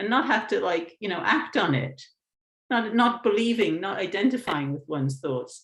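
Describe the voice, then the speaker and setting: A woman speaks at a moderate pace with a fairly high pitch. Her pitch swings very widely, and there is vocal fry. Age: 60s. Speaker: mindfulness teacher. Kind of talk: webinar Q&A answer. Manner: hesitant, with many fillers.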